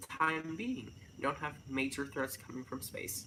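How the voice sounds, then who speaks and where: Clear background noise runs under speech delivered at moderate speed. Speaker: YouTuber. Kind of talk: casual unscripted livestream monologue. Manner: stuttering, sidetracked.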